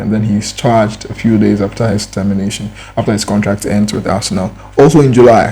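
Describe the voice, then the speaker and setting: A man with a non-native accent speaks in a fairly low voice at a fairly quick pace. There is noticeable background noise. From Ghana. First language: not English. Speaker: YouTube commentator. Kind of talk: reaction commentary. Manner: casual, halting with repetitions.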